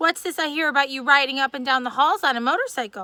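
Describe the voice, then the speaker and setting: Putting on a character voice, a woman talks at a very fast pace in a high pitch. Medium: read story.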